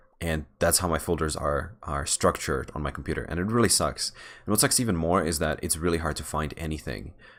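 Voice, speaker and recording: Speaking in a Czech accent, a man with a very deep, low pitch and vocal fry keeps a moderate pace and ordinary pitch variation. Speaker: software developer vlogger. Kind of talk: casual vlog while gaming. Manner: halting, many fillers and restarts.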